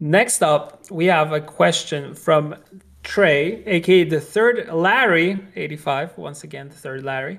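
The speaker has a Polish accent and talks at a fairly slow pace. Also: man, high pitch for a man, ordinary pitch variation. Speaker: video game industry professional and podcast co-host. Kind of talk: casual chat.

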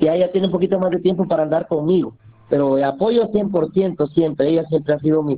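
A high-pitched male voice at a moderate pace, very even in loudness, with ordinary pitch variation. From Guatemala, Santa Lucía near Antigua. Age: 40s. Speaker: community food volunteer. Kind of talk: interview.

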